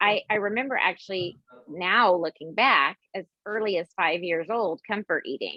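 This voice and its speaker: A woman with a Texas accent talks at a medium pitch. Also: ordinary pitch variation, moderate pace. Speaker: dietitian. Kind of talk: interview.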